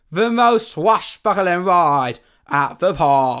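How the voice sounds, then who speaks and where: Using a put-on character voice, a man speaks at a very slow pace in a high pitch. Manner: exaggerated, theatrical, bad.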